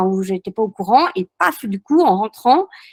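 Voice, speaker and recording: A woman speaks at a fairly quick pace. The sound is dry and close, with no echo. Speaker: château owner running guest rooms and events. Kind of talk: webinar testimony. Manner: hesitant, many fillers.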